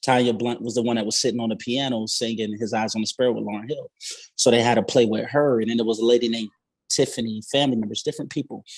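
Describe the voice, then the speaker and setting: Very fast, monotone speech from a man at medium pitch with an American accent. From Maryland Eastern Shore. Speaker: musician. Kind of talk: casual chat.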